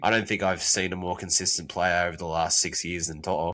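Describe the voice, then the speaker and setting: A man speaks with an Australian accent, his pitch very deep and low and his tone bright and sharp. The recording is very clean with a silent background. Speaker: podcast co-host. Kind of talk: casual chat.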